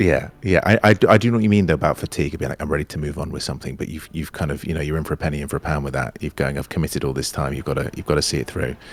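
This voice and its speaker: A man with a very deep, low pitch talks at a very fast pace with vocal fry, lively intonation and big swings in loudness. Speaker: actor. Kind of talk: interview answer. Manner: casual, chatty.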